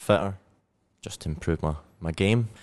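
In a Scottish accent, a man talks at a moderate pace with a very deep, low pitch. The background is quiet. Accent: Scottish, still present. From Scotland, Glasgow. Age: 20s. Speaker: CrossFit athlete and weightlifter. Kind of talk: casual chat.

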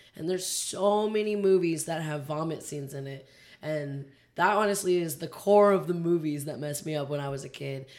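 In an American accent, a woman with a very deep, low pitch speaks at a fairly quick pace, her loudness swinging widely. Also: ordinary pitch variation. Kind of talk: casual chat. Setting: studio.

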